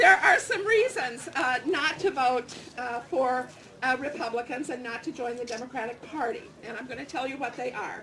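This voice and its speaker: A woman speaks at a moderate pace in a raised, projected voice with a high pitch, ordinary pitch variation, big swings in loudness, and noticeable background noise. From Eastern Kentucky. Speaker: party official. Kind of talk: rally speech.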